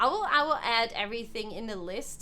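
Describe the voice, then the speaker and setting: Music can be heard behind the speaker. She is a woman. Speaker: video game streamer. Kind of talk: live gameplay commentary. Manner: calm.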